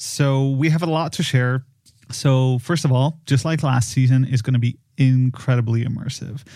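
His tone dark and mellow, a man speaks at a moderate pace with a medium pitch. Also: fairly even intonation. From Poland. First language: Polish. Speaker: film producer and podcast designer. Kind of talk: casual chat.

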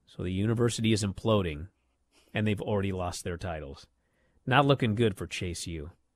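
A man with an ordinary speaking voice, fairly low pitch, ordinary pitch variation and big swings in loudness, talking at a fairly quick pace against a quiet background. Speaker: wrestling podcast host. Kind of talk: casual chat.

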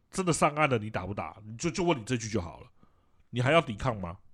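A man talks in a somewhat breathy voice, his pitch swinging very widely. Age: middle-aged. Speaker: video game podcast co-host. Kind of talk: casual chat.

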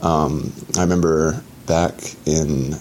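A man speaks with a very deep, low pitch and fairly even intonation in an American accent. Noticeable background noise runs behind him. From Atlanta, Georgia, US. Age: 20s. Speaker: thru hiker. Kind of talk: solo audio diary.

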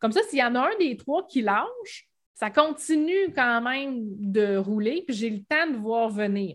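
A woman with a Quebec accent speaks at a fairly high pitch with lively intonation and a somewhat breathy quality. The recording is very clean, with a silent background. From Quebec, Bas-Saint-Laurent (Rimouski). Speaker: Shopify expert, web entrepreneur. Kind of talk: casual interview.

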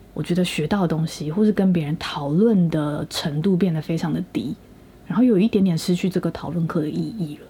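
A woman talks at a fairly quick pace in a fairly low, somewhat breathy voice with a dark, mellow tone and ordinary pitch variation. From Taiwan. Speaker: podcast co-host, student in Japan. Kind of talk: casual chat.

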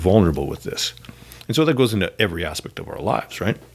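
A man speaks with a Canadian accent. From Canada. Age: 40s. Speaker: pastor. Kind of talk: casual chat. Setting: church building.

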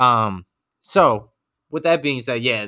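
In a New York accent, the voice has a bright, sharp tone and lively intonation. The recording is very clean, with a silent background. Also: man. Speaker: podcast co-host. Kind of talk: casual chat.

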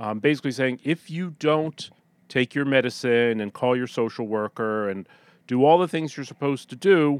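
In a very clean recording with a silent background and a dry, close sound with no echo, a man speaks at medium pitch and a moderate pace with ordinary pitch variation. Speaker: magazine associate editor. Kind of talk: casual chat. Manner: patient, polite.

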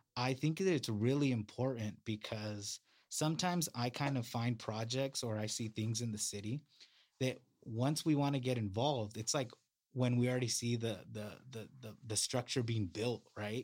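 The recording is very clean with a silent background, carrying a man with an American accent at a medium pitch. He speaks at a moderate pace in a plain, everyday voice with ordinary pitch variation. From California, Salinas. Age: 30s. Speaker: city council candidate. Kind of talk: interview.

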